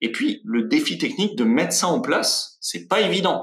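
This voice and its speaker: A man's voice with very wide pitch swings. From France. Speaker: web marketing consultant. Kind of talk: webinar presentation. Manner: hesitant, many fillers.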